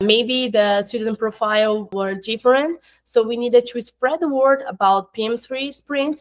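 A woman with a Portuguese accent speaks at a moderate pace and a fairly high pitch. Her pitch variation is ordinary, and the background is quiet. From Brazil. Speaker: marketing coordinator at an education company. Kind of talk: interview. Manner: halting, with fillers. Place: home room.

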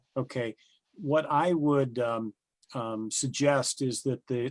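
Very slowly, a man of medium pitch speaks with fairly even intonation. The recording is very clean with a silent background and a dry, close sound with no echo. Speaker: city council legal adviser. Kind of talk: council meeting discussion. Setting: city council meeting. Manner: hesitant, many fillers.

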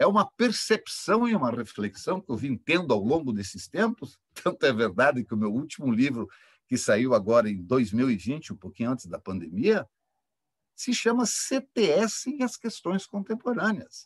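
Against a quiet background, a man with a fairly high pitch and vocal fry speaks at a fairly slow pace, his pitch making very wide swings. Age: 60s. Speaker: engineering professor. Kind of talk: academic panel talk. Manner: impassioned. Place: home room. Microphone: webcam.

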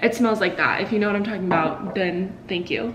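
A woman speaks with fairly even intonation, her voice carrying audible room echo over light background noise. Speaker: lifestyle vlogger. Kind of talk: casual vlog chat. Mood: cheerful, chatty. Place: kitchen. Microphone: camera far.

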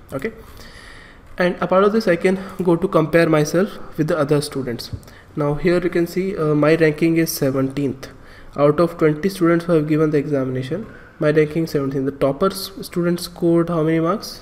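A man with a fairly high voice keeps his intonation fairly even over noticeable background noise. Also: moderate pace. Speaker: online exam-prep instructor. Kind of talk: tutorial.

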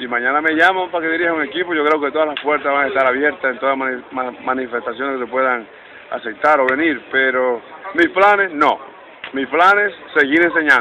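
This man talks at a moderate pace with a fairly high pitch and ordinary pitch variation. Noticeable background noise runs under his voice. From Dominican Republic, Santiago. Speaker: baseball coach, former player. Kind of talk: interview. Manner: halting, many fillers.

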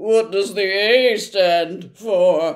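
A man performs a put-on character voice at a high pitch. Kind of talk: read-aloud storytelling. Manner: nervous, stammering.

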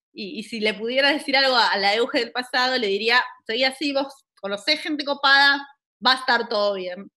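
A woman with a high pitch talks at a fairly quick pace in a bright, sharp tone against a quiet background. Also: ordinary pitch variation. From Buenos Aires, Argentina; Argentina. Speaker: science communicator. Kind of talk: online talk. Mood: warm, relaxed, anecdotal. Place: home room. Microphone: video call.

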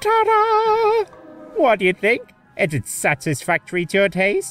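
A put-on character voice at a moderate pace. Faint music plays in the background. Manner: theatrical, playful.

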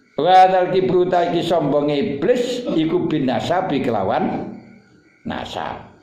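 Amid light background noise and audible room echo, a man with a high pitch speaks at a very slow pace. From Java, Indonesia. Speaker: Islamic teacher. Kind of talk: religious lecture reading a classical text. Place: home room. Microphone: phone near.

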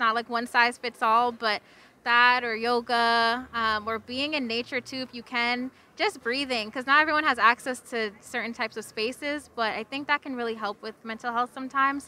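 At a moderate pace, a woman speaks with a bright, sharp tone, fairly high pitch and fairly even intonation.

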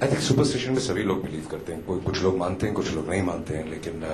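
A man speaking at a moderate pace over noticeable background noise. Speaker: actor at a press meet. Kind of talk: press conference answers. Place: hall. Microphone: handheld.

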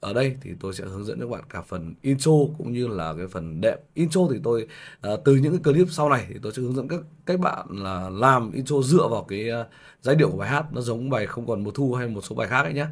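A very fast man's voice, lively in intonation, with big swings in loudness. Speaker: piano teacher. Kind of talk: tutorial.

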